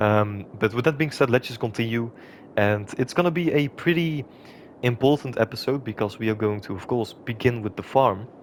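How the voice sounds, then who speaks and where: Normal pitch movement in a man's speech at a moderate tempo. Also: medium pitch for a man. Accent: non-native. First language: not English. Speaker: gaming YouTuber. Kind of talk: gameplay commentary. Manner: hesitant, many filler sounds.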